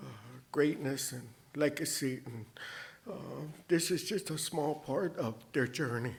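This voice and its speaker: A man with a Cheyenne accent speaks at a fairly slow pace with long, frequent pauses, a fairly high pitch, ordinary pitch variation, big swings in loudness and a somewhat breathy quality. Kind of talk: anecdote; award acceptance speech.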